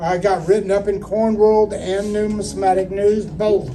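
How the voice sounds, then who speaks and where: A man with an American accent speaks at a fairly slow pace in a high pitch, with music playing in the background. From Houston, Texas, USA. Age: 70s. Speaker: coin auctioneer and coin collector. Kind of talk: interview answer, casual storytelling.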